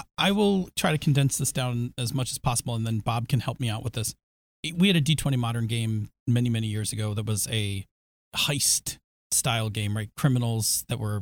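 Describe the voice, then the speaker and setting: At a fairly quick pace, a man speaks in a somewhat breathy, medium-pitched voice with ordinary pitch variation, recorded dry and close with no echo. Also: very clean recording, silent background. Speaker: podcast co-host. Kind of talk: casual chat about tabletop gaming. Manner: joking, laughs often.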